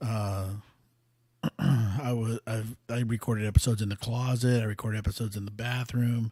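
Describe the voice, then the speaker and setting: A man talks at a moderate pace and medium pitch in a dark, mellow tone. His voice is somewhat breathy and his intonation monotone and flat. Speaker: podcast host. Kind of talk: casual monologue. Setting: home studio. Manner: halting, many fillers.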